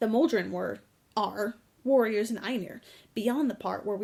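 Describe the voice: The clip is plain reading aloud.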